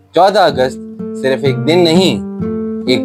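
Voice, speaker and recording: Music runs behind the speaker. He is a man whose intonation is lively. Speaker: professional voice-over artist and storyteller. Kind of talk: documentary historical narration. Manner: emotive, dramatic.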